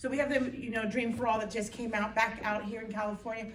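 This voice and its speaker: A woman speaks at a very fast pace with a fairly high pitch and fairly even intonation. Room echo is audible, and background noise is noticeable. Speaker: mortgage industry representative. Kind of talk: meeting presentation. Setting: town hall meeting with audience.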